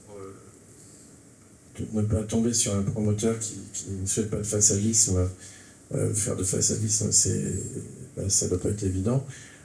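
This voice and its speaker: A man's fairly low voice at a fairly slow pace, with fairly even intonation, big swings in loudness, long, frequent pauses, audible room echo, and noticeable background noise. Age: 60s. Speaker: architect. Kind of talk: round-table discussion. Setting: theatre stage with audience. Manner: halting, many hesitations.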